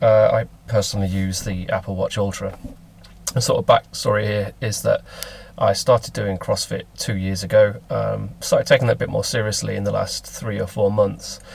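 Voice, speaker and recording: A man with a Lincolnshire accent talks at a moderate pace. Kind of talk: casual talk to camera. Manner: hesitant, many fillers.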